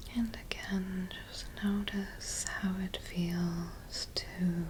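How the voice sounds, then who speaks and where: The voice is calm and soft-spoken, moving at a very slow pace. Noticeable background noise sits behind it. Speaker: licensed mental health therapist, ASMR guide. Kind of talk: guided somatic grounding exercise, ASMR. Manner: soft-spoken, calm, slow.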